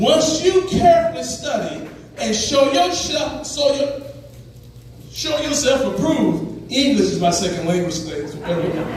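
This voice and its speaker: At a moderate pace, a man speaks in an animated tone with an extremely high voice and very wide pitch swings, with audible room echo and noticeable background noise. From Arkansas. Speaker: political speaker. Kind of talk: speech.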